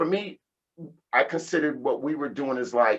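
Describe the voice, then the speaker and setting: The man's voice sits at a fairly high pitch. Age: 50s. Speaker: house music DJ and producer. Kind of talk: casual interview chat. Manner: animated.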